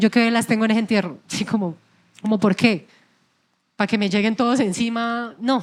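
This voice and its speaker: At a fairly quick pace, a woman speaks at a fairly high pitch with fairly even intonation. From Colombian llanos (Yopal). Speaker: singer. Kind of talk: interview. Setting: stage with audience.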